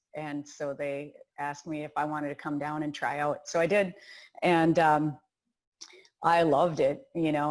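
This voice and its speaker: With a Wisconsin accent, a woman speaks fairly slowly in a very deep, low pitch and a monotone, flat intonation, recorded very cleanly over a silent background. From Wisconsin, US Midwest. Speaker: rowing coach. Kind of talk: interview.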